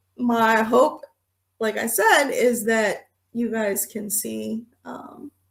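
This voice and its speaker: A woman is speaking. Her voice is fairly high-pitched. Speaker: podcast host. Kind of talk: unscripted memoir podcast talk. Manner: relaxed, conversational.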